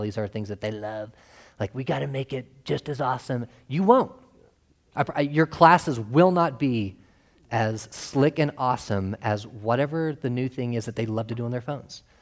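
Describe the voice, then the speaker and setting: A man talks at a moderate pace with ordinary pitch variation and a normal speaking voice, recorded very cleanly against a silent background. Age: 30s. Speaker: youth minister. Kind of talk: panel discussion.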